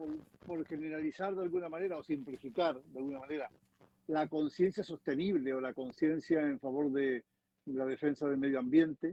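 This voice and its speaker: A dry, close sound without echo, ordinary pitch variation throughout. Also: man. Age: 60s. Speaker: environmental activist. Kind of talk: panel discussion. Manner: halting.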